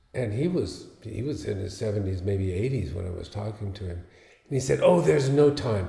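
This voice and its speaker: A man speaks at a fairly low pitch with lively intonation and a moderate pace. The room echo is audible. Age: 70s. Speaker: luthier and guitarist. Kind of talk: casual talk about his piece and guitar. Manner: halting, with fillers.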